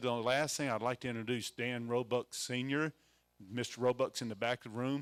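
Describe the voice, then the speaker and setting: In a dry, close sound with no echo, a man talks at a fairly quick pace. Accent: Mississippi. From Mississippi. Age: 60s. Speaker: event emcee. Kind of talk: event introduction. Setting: room with live audience. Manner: halting, many fillers.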